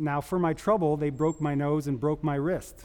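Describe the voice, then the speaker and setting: A man's fairly high-pitched voice, a plain, everyday voice. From Canada. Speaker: epidemiologist. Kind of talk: panel talk, personal testimony. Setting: stage with audience.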